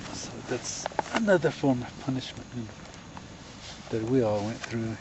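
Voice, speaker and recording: Over noticeable background noise, a man of medium pitch talks at a fairly slow pace with fairly even intonation. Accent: Navajo Nation. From Navajo Nation, southwestern US. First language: Navajo. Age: 70s. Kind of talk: storytelling interview answer. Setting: outdoors, around a camp fire.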